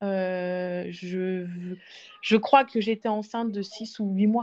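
A woman speaks with ordinary pitch variation. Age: 30s. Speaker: IVF patient sharing her story. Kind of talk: testimony. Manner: hesitant, many fillers.

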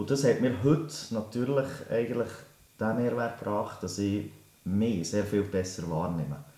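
In a room with audible echo, a man speaks fairly slowly with a dark, mellow tone, fairly low pitch and lively intonation. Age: 30s. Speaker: teacher and life coach. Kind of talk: interview.

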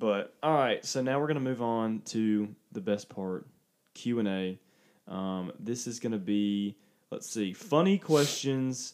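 A man speaks at a medium pitch and a fairly slow pace, with lively intonation and an unremarkable speaking voice. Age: 20s. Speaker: podcast co-host. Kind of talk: casual chat.

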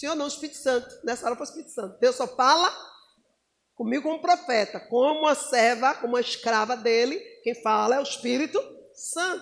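Animated in tone, a woman with a high pitch talks at a fairly quick pace with ordinary pitch variation. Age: 50s. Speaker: preacher. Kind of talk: sermon.

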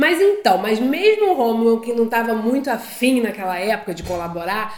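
Very wide pitch swings run through this moderately paced voice, heard over noticeable background noise. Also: woman. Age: 30s. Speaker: podcast co-host, married couple. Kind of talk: casual chat.

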